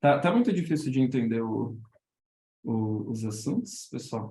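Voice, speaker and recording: A man's somewhat breathy, dark, mellow voice at medium pitch, fairly slow with long, frequent pauses and ordinary pitch variation. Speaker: illustrator teaching a workshop. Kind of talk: online workshop talk. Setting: Discord voice call. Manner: halting, many repetitions.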